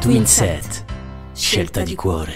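A man speaks with lively intonation. Music sounds behind him. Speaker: voice actor. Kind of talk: TV commercial read.

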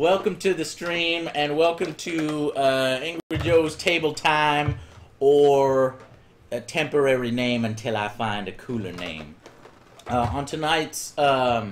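Light background noise sits under a man's voice. He talks at a very slow pace with lively intonation. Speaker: stream host. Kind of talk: casual game tutorial commentary. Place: home room.

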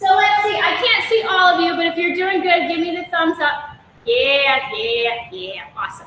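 In a raised, projected voice, a woman sounds upbeat, her extremely high pitch rising and falling with lively intonation amid audible room echo and light background noise. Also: moderate pace. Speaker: fitness instructor. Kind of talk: live-streamed follow-along workout class, giving timed exercise cues. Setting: video call. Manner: upbeat, encouraging, brisk coaching with clear countdown cues. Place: gym. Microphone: video call.

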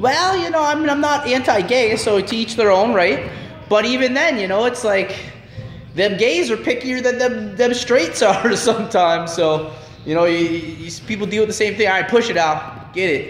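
With light background noise and audible room echo, a man speaks at a high pitch with lively intonation. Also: moderate pace. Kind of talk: casual gym chat. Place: gym. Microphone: phone near.

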